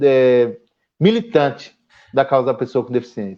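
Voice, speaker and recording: The man talks at a fairly high pitch with lively intonation and a moderate pace. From São Paulo area, Brazil (moved from Paraíba at age 4). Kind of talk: casual live-stream conversation.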